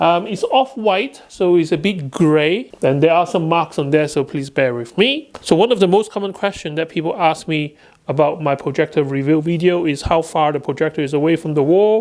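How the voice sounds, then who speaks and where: This man talks at a moderate pace with a Chinese accent and hardly any pauses. His pitch is fairly high, with ordinary variation. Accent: Chinese accent of English. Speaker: tech reviewer. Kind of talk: product review tutorial. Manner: hesitant, with fillers.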